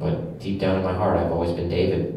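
A man's voice in strong room echo, with light background noise. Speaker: comedian performer. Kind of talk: interview answer. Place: stage. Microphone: camera far.

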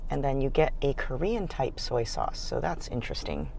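A woman speaks at a moderate pace. The sound is dry with no echo. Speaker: food vlogger. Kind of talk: casual vlog chat. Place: car. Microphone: phone near.

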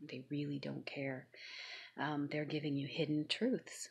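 Over a quiet background, a woman with a very deep, low pitch speaks at a moderate pace with fairly even intonation. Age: 50s. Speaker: YouTube vlogger; vlogger. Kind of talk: personal vlog monologue. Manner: hesitant, many filler ums. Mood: serious, aggrieved. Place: home room. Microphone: phone near.

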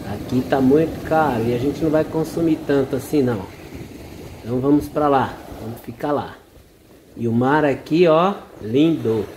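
With light background noise, a man speaks at a moderate pace with ordinary pitch variation and long, frequent pauses. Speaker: travel vlogger. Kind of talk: casual vlog chat. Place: beach. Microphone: phone near.

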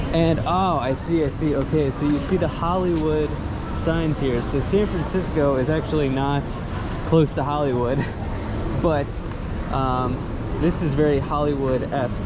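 Long, frequent pauses break up speech at a moderate pace with ordinary pitch variation, over loud background noise. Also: man. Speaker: travel vlogger. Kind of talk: casual vlog chat. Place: street. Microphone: phone near.

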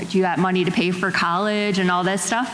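Light noise in the background, noticeable room echo, and a woman speaking. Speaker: nurse and veteran. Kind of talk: panel discussion. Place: stage. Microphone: handheld.

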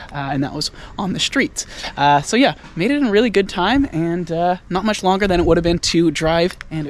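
A man talks at a moderate pace. His pitch is high, and the sound is dry with no echo. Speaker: commuting vlogger. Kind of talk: casual vlog chat. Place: street. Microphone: phone near.

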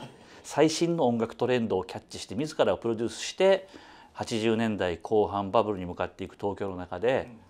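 A man's medium-pitched voice, fairly quick and lively in intonation, with big swings in loudness. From Osaka, Kansai; Japan. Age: 50s. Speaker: music critic; interviewee. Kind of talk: interview. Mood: friendly, animated. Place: studio. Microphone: lapel.

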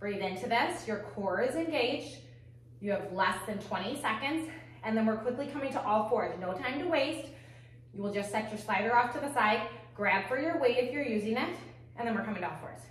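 A fairly quick pace with audible room echo. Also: woman. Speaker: fitness instructor. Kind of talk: workout instruction. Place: home room.

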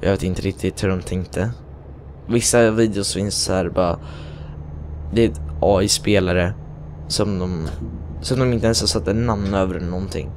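Over noticeable background noise, a man with a very deep, low pitch speaks at a moderate pace, using ordinary pitch variation. He takes long, frequent pauses. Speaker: gaming youtuber. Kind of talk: gameplay commentary. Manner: hesitant.

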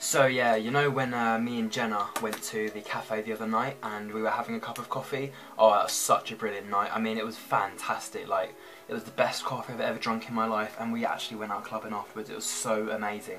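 A man talks at a very fast pace with monotone, flat intonation. Music plays clearly in the background. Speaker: vlogger. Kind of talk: casual vlog chat. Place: home room. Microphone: webcam.

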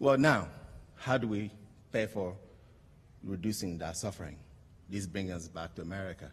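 A man's very deep, low, somewhat breathy voice at a moderate pace, with ordinary pitch variation and long, frequent pauses. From Togo, border town. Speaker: social entrepreneur, company founder. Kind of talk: award acceptance speech; speech. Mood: earnest, hopeful. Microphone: podium.

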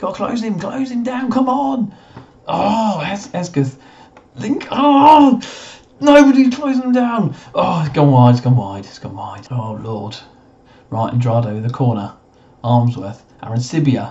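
Over noticeable background noise, the speaker moves at a fairly slow pace with long, frequent pauses and very wide pitch swings. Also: man, high pitch for a man. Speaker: gaming YouTuber. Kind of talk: gameplay commentary. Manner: animated.

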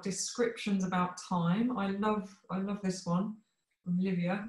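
In a room with audible echo and a quiet background, a woman speaks at a fairly slow pace with fairly even intonation. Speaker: session organiser and moderator; moderator. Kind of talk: welcome and closing remarks. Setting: video call. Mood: warm, cheerful. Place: home room. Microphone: video call.

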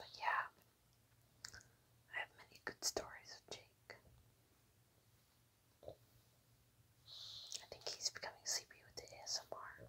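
Whispering at a very slow pace, a woman leaves long, frequent pauses, her loudness swinging widely. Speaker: ASMR creator. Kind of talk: casual talk to camera. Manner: whispered. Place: home room. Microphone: lapel.

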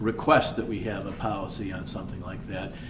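The pace is fairly quick. Room echo can be heard. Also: man. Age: 60s. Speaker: mayor. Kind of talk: city council meeting discussion. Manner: halting.

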